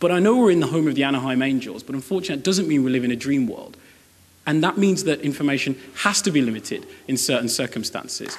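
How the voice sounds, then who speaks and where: Talking at a very fast pace, a man with a British accent uses a fairly high pitch. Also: lively intonation. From Britain. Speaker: university debater. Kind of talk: competitive debate speech. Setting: stage with audience.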